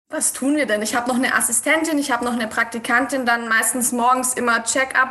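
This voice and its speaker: Over noticeable background noise, a woman with a high pitch talks at a very fast pace with hardly any pauses and monotone, flat intonation. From Swabia, southern Germany. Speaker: fashion designer and numerologist. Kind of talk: podcast interview.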